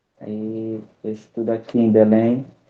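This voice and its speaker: A man speaks at medium pitch. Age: 20s. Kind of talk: online presentation. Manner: halting.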